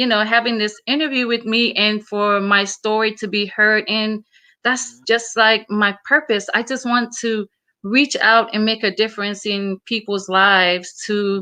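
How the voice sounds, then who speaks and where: With a Samoan accent, a woman speaks at a fairly slow pace in a bright, sharp tone and a fairly high pitch, the background quiet. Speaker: motivational speaker. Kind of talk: interview.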